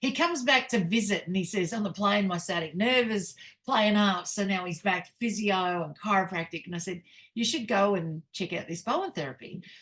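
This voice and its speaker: With an Australian accent, the speaker talks at a fairly quick pace with ordinary pitch variation. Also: woman, medium pitch for a woman. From Australia, Newcastle NSW. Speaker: networking group host. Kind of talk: casual chat.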